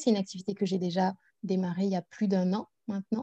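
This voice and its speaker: A woman's somewhat breathy, dark, mellow voice at a medium pitch and moderate pace, dry and close with no echo. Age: 30s. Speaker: personal development coach. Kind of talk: interview.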